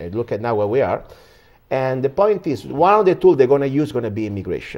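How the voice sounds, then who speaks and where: A man speaks with an Italian accent at a very fast pace. His pitch swings very widely. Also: medium pitch for a man. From Italy. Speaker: political commentator. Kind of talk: interview. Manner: halting.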